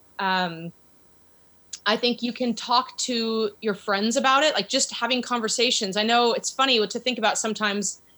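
A woman with an American accent speaks in a fairly high pitch with a bright, sharp tone. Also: ordinary pitch variation, moderate pace. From US Pacific Northwest, Seattle area. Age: 40s. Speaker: women's soccer club owner. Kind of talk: interview.

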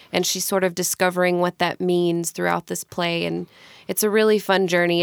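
The voice belongs to a woman speaking at fairly low pitch and a moderate pace. The recording is very clean and dry, close with no echo and a silent background. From Mississippi, US South. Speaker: stage actor. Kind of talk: interview. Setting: studio.

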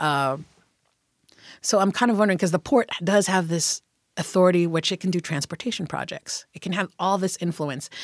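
Recorded very clean with a silent background and a dry, close sound with no echo, a woman of fairly low pitch speaks at a moderate pace in an unremarkable speaking voice. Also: ordinary pitch variation. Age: 40s. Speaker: political candidate. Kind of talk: interview.

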